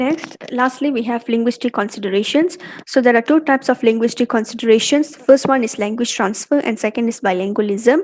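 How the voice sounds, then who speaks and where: A woman's high voice in a Malaysian accent, fairly quick with hardly any pauses, ordinary pitch variation, and big swings in loudness. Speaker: university student. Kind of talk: class presentation.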